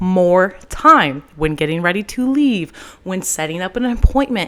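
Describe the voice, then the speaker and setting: Speaking at a moderate pace with an American accent, a woman's voice moves through very wide pitch swings. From US South, Tyler, Texas. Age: 20s. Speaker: podcast host and entrepreneur. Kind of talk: casual solo podcast monologue. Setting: holding a handheld microphone. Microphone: handheld mic held close to her face.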